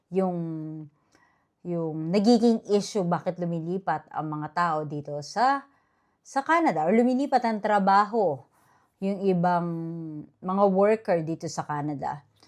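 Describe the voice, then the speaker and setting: Against a quiet background, a woman with a medium pitch speaks at a fairly slow pace, using lively intonation and long, frequent pauses. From Philippines. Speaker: vlogger. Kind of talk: casual vlog monologue.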